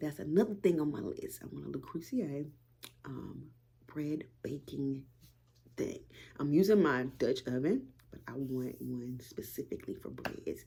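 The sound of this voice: A raspy, whispering put-on character voice at a moderate pace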